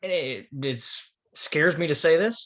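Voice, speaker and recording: Pitched high with a bright, sharp tone, a man's voice moves through very wide pitch swings. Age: 20s. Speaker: sports podcast co-host. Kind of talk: casual sports roundtable discussion.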